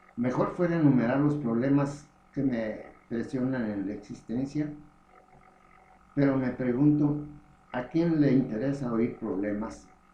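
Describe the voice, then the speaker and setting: A man speaks at a fairly slow pace, with long, frequent pauses. His pitch varies in an ordinary way, and room echo is audible. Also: medium pitch for a man. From Mexico, Morelia, Michoacán. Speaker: memoir author. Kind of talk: reading aloud.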